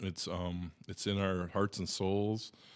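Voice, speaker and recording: A man with an Upper Midwest accent, fairly low in pitch, at a fairly slow pace. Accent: Upper Midwest American (Michigan). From Michigan, Bay City area. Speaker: musician. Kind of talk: casual chat.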